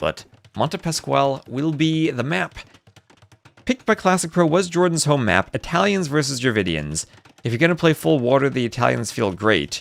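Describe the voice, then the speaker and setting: A man speaks with an American accent at a fairly high pitch. His pitch swings very widely. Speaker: esports caster. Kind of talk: live commentary. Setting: live stream. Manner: fast; animated.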